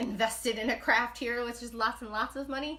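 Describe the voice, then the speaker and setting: A woman with a New York accent, animated and bright, sharp in tone, at a fairly quick pace with ordinary pitch variation. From New York, Brooklyn. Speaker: knitting livestreamer. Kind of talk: casual live chat. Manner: fast.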